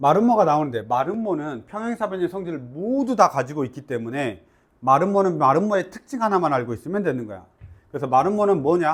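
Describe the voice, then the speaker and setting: A man speaks at a high pitch and a fairly quick pace, his voice making very wide pitch swings. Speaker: math teacher. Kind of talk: lecture. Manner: casual, informal.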